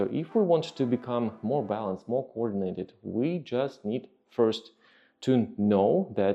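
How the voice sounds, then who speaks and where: The speaker is a man with a Russian accent. His medium-pitched voice moves at a fairly slow pace. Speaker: fitness trainer. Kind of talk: podcast monologue. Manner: halting, with many fillers.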